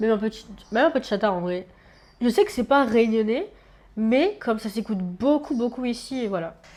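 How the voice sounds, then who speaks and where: A woman speaks at a fairly quick pace and fairly high pitch with ordinary pitch variation, taking long, frequent pauses, her loudness swinging widely. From Réunion, Le Chaudron district. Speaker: university student. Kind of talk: casual chat. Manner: hesitant, many fillers.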